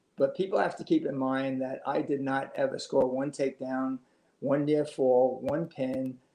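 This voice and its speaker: In a room with audible echo, a man speaks at a moderate pace with a dark, mellow tone, fairly high pitch and monotone, flat intonation. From New York City (Astoria, Queens), then Long Island; New York. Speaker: retired high school wrestling coach. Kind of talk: oral history interview. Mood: warm, reflective. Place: home room. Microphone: video call.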